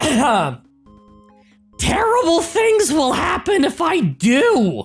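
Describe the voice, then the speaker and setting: A put-on character voice with high pitch and very wide pitch swings moves at a very slow pace over faint music in the background. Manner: panicked, pleading.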